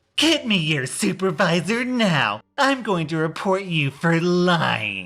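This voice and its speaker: A man's put-on character voice, shouting at a high pitch with very wide pitch swings, very even loudness and a fairly slow pace. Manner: furious, screaming.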